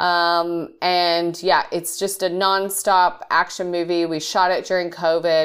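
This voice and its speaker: A fairly low-pitched woman with an Australian accent, in a very clean recording against a silent background. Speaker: film director. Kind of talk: interview.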